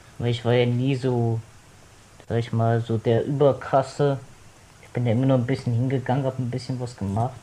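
A man speaks at a moderate pace with long, frequent pauses, his voice somewhat breathy. His pitch is medium and his intonation monotone and flat. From Cologne. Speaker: podcast guest. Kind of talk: casual chat.

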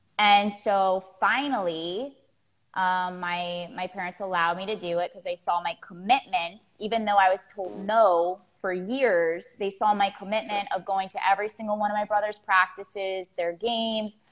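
Speaking at a moderate pace in a Florida accent, a woman with medium pitch keeps her intonation fairly even while her loudness swings widely. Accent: American (Florida). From Florida, US. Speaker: executive coach. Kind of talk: interview conversation.

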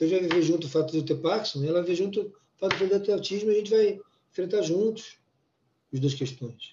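A man speaks at a fairly quick pace in a high voice. He has ordinary pitch variation and leaves long, frequent pauses. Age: 50s. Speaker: former business executive living with Parkinson's. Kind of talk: interview conversation.

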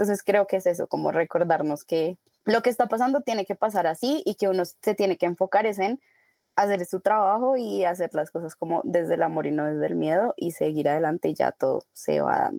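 A woman talks fairly quickly in a medium-pitched, dark and mellow voice with lively intonation. The sound is dry and close with no echo, on a very clean recording with a silent background. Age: 20s. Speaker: advertising professional, coaching client. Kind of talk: casual interview.

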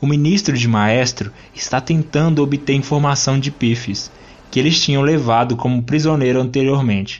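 The delivery is animated and dramatic, at a moderate pace with ordinary pitch variation. Loudness stays very even throughout. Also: man, fairly high pitch for a man. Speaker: podcast host and narrator. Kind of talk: literary audiobook-style reading of a comic, narrated with character voices. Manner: animated, storytelling narrator, dramatic.

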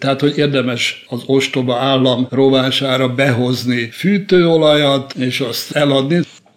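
A man talks at medium pitch and a fairly slow pace over noticeable background noise. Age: 70s. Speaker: criminology professor. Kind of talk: interview.

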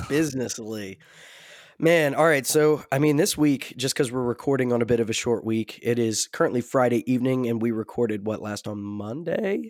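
On a very clean recording with a silent background, a man with a plain, everyday voice speaks at medium pitch, with ordinary pitch variation and a moderate pace. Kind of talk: casual chat.

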